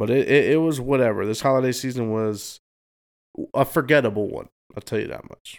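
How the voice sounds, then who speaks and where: A man's unremarkable speaking voice, medium in pitch and fairly quick, with fairly even intonation and big swings in loudness, on a very clean recording with a silent background. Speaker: podcast co-host. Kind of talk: casual chat.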